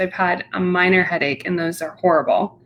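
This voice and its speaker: A woman with an unremarkable speaking voice talks at a moderate pace. Her pitch is medium. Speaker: podcast host. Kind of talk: interview host talk.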